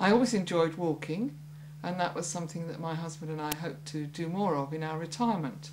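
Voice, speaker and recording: Noticeable background noise and audible room echo surround a woman speaking at a very fast pace. Her voice is very deep and low, with ordinary pitch variation. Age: 70s. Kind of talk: testimony.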